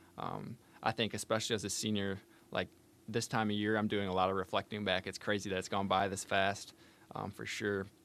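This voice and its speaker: His is an unremarkable speaking voice, a man's, pitched fairly low. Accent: American. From northern Michigan, Benzie County. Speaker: college wrestler, engineering student. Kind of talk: casual interview. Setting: studio.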